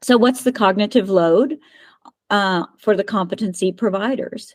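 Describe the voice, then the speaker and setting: A woman talks at a moderate pace in an ordinary speaking voice, her medium pitch showing ordinary variation. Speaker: agile methods trainer. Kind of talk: presentation.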